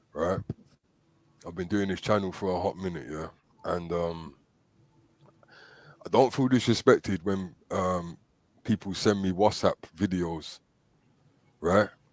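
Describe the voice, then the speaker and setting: With a very deep, low pitch, a man talks fairly slowly in fairly even intonation, leaving long, frequent pauses. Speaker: talk show host. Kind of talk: casual chat. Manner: hesitant, repetitive fillers.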